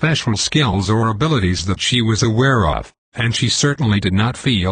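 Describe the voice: Over quiet surroundings, the speaker does plain reading aloud.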